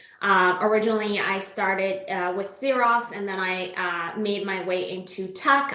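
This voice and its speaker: A woman's medium-pitched voice, fairly even in intonation, comes through noticeable background noise and audible room echo. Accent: Iranian. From Iran. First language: Farsi. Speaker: tech sales executive. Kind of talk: podcast interview.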